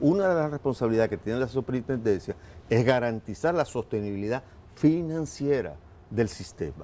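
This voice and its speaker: His tone is dark and mellow, at a medium pitch. The man's intonation is lively. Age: 70s. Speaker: government official. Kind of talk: TV interview.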